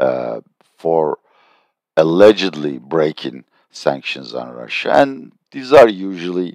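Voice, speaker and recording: A man speaks with a Turkish accent. His pace is very slow. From Turkey. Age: 60s. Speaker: political and economic analyst. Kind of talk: video commentary.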